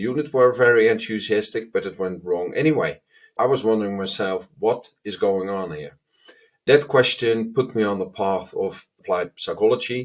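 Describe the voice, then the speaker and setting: A man with a Dutch accent, medium pitch, ordinary pitch variation and a moderate pace, on a very clean recording with a silent background. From Netherlands. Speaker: agile consultant. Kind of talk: self-introduction to camera.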